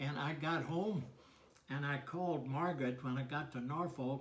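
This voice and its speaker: A somewhat breathy, fairly high-pitched male voice at a moderate pace, with ordinary pitch variation and audible room echo. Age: 80s+. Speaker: war veteran. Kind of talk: casual chat. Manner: halting.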